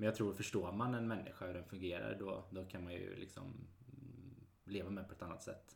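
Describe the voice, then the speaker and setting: A man's fairly low, somewhat breathy voice at a fairly quick pace, with fairly even intonation and audible room echo. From Sweden, Mariestad (Västergötland). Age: 30s. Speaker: real estate agent. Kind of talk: casual chat.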